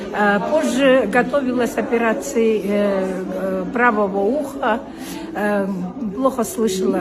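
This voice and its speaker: Over noticeable background noise, a woman's voice carries audible room echo. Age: 70s. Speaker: customer giving product testimonial. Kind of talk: testimony. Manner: halting.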